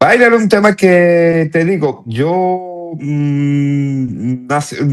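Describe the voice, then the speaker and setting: Very slow delivery with lively intonation in a Cuban accent. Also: man, high pitch for a man. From northern Italy (Turin). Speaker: salsa pianist. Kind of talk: interview. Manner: halting, many restarts.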